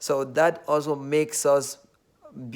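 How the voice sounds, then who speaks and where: This is a man speaking. He has a Nigerian accent. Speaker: vlogger. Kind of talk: casual monologue. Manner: hesitant, filler-heavy.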